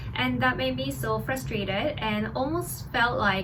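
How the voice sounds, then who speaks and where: Speech in a Korean accent at a moderate pace with very wide pitch swings, plus audible room echo and noticeable background noise. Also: woman. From South Korea. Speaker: doctor and video creator. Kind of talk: personal vlog storytelling.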